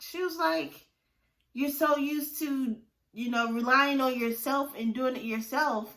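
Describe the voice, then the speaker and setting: Her voice raised and projected, a woman speaks at a moderate pace in a high pitch with a bright, sharp tone. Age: 30s. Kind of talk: casual talk to camera, faith testimony. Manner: upbeat, enthusiastic.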